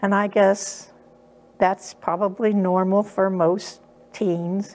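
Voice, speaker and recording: A woman at a very slow pace with monotone, flat intonation, against noticeable background noise. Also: medium pitch for a woman. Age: 80s+. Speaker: church member. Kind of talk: testimony. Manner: hesitant, with fillers.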